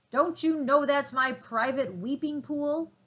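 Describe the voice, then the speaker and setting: A woman puts on a character voice pitched high and speaks at a fairly slow pace. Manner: angry.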